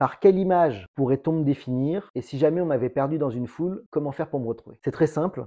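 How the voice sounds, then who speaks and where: Racing along with hardly any pauses, a man speaks at a fairly high pitch with ordinary pitch variation. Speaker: real estate agent. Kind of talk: vlog monologue. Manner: loud.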